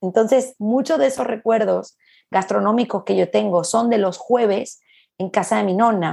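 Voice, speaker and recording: A woman speaks with a Venezuelan accent and vocal fry. Her tone is animated. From Venezuela, Caracas. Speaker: gastronomy academy director, food journalist. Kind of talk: casual interview.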